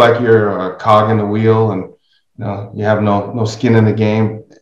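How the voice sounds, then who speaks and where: A man talks at a fairly slow pace with a fairly low pitch. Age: 60s. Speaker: podcast host. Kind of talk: casual interview conversation.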